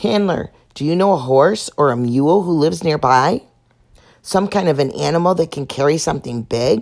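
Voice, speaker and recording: In a put-on character voice, this female-sounding speaker is raspy, with a very deep, low pitch for a woman and a moderate pace. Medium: read story.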